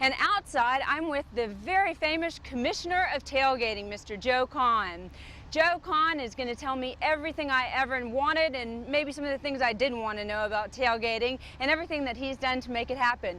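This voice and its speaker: Against noticeable background noise, a woman raises and projects her high-pitched voice. She talks at a fairly quick pace with lively intonation. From Atlanta, Georgia. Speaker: TV host on aging. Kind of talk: on-location interview. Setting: outdoors at stadium.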